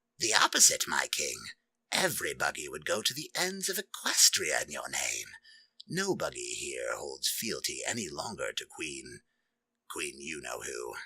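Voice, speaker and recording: A put-on character voice carries this clip. Its speed is moderate. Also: man, extremely high pitch for a man. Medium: read story. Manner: deferential.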